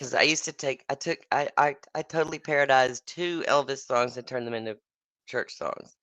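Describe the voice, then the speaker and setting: This voice carries an American accent at a fairly quick pace. The sound is dry and close, with no echo. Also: woman, very deep, low pitch for a woman. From Texas. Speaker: singer-songwriter. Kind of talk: casual chat.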